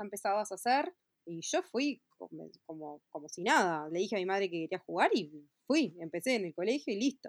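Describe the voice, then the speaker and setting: Recorded with a dry, close sound and no echo, a woman with a Uruguayan accent speaks at a moderate pace. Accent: Uruguayan Rioplatense Spanish. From Uruguay, Montevideo. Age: 30s. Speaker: fashion designer. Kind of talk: interview. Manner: halting, many fillers and repetitions.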